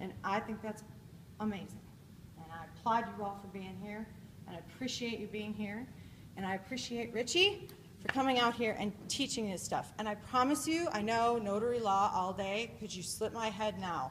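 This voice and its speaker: A woman with a fairly high pitch speaks at a moderate pace, her pitch varying in an ordinary way. Her loudness swings widely, and room echo is audible. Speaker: conference speaker. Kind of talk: keynote speech. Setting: stage with audience. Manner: animated.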